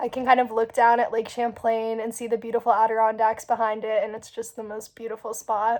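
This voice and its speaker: A woman talking at a fairly quick pace, her pitch fairly high. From US South, Asheville, North Carolina. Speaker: university student. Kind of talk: student testimonial.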